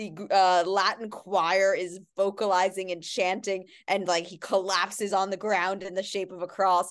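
In a New York accent, a woman speaks at a moderate pace and medium pitch with monotone, flat intonation and big swings in loudness. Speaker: podcast host. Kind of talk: casual chat.

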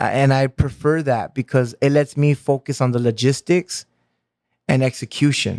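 Using a normal speaking voice, a man with an American accent talks at a moderate pace and medium pitch, with fairly even intonation, very even loudness and a dry, close sound with no echo. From Santa Ana, Orange County, California. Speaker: convention organizer and creative. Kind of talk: casual interview chat.

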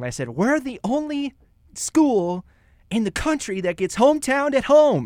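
A man with a Midwestern American accent speaks at a moderate pace with lively intonation and an extremely high pitch, on a very clean recording with a silent background. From Kansas, Topeka. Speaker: college radio host. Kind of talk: radio talk show. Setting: college radio studio.

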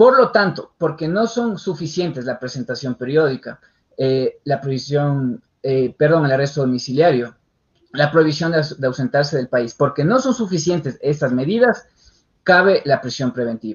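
A somewhat breathy, fairly high male voice with lively intonation at a moderate pace. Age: young. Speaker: criminal lawyer. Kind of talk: interview on legal topic. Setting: online radio show.

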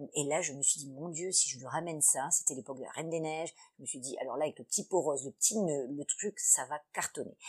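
Her voice is very deep and low for a woman. She speaks at a very fast pace. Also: ordinary pitch variation. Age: 40s. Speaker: entrepreneur. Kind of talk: interview.

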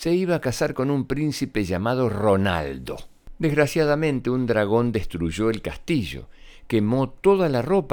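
The plain reading aloud carries a lively intonation.

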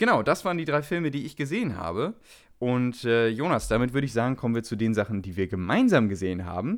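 In a very clean recording with a silent background, a man talks at a very fast pace with a medium pitch and lively intonation. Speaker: film podcast co-host. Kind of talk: casual chat.

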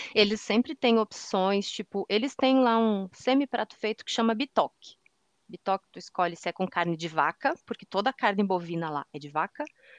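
Against a quiet background, a woman with a medium pitch and lively intonation talks at a moderate pace in a dry, close sound with no echo. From southern Brazil, Rio Grande do Sul. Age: 40s. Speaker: accessibility analyst and audio description consultant. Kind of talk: casual interview chat. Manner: animated.

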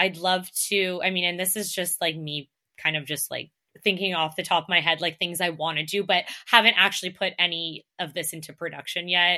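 In a very clean recording with a silent background, a woman with a Canadian accent speaks at a fairly quick pace in a bright, sharp tone, her fairly low pitch held monotone and flat. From Toronto, Canada. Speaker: fashion content creator. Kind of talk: casual interview.

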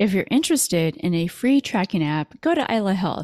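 With an ordinary speaking voice, a woman talks at a moderate pace with lively intonation, the sound dry and close with no echo. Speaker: podcast host and autoimmune coach. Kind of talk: interview.

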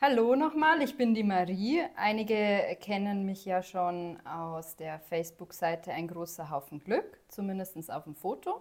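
Using a normal speaking voice, a woman talks at a fairly slow pace with hardly any pauses, medium pitch, lively intonation and big swings in loudness. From Upper Bavaria, Germany. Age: 30s. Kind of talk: casual chat.

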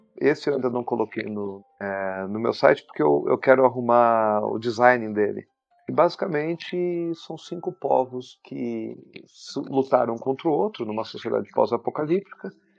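A man with a medium-pitched voice speaks at a moderate pace with lively intonation, his loudness swinging widely over music in the background. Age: 40s. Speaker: game designer. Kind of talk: interview. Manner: halting, repeats words.

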